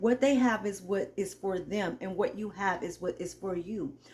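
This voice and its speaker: Her voice is somewhat breathy and medium in pitch. The woman's intonation is lively. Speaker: YouTuber, motivational talk. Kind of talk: motivational monologue. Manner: some trouble articulating certain words.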